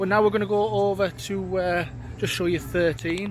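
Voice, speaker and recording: The man talks at a moderate pace. Behind him there is noticeable background noise. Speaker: vlogger for a coach trip operator. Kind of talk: travel vlog walkthrough. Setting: outdoors at a theme park. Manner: casual with many fillers; shouting.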